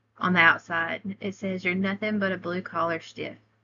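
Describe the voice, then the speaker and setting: Bright and sharp in tone, a woman speaks at a medium pitch with a Southern US accent. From US South, Alabama. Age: 30s. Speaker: college student. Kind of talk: class presentation.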